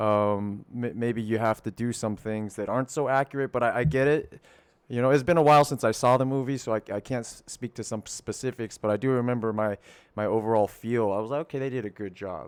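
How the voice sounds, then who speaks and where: The recording is very clean, with a silent background and a dry, close sound with no echo. A man speaks at a fairly quick pace in a medium-pitched voice with fairly even intonation. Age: 30s. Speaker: podcast host. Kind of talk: casual chat. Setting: home studio. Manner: halting, with many repeated words.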